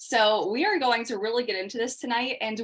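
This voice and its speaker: A woman talks with an ordinary speaking voice at a fairly quick pace. Her intonation is lively. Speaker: makeup instructor. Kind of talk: online class.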